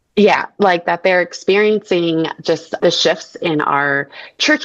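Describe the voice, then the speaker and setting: A woman's fairly low-pitched voice with an American accent, ordinary pitch variation and a moderate pace, over noticeable background noise. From Massachusetts, Boston area. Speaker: counselor and missionary care worker. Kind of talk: podcast interview.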